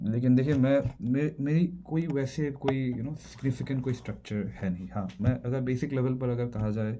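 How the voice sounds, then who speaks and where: This man's voice has a dark, mellow tone. His pitch moves in an ordinary way. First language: not Hindi (speaking Hindi). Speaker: video creator. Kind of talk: casual monologue vlog. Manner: halting, many fillers and restarts.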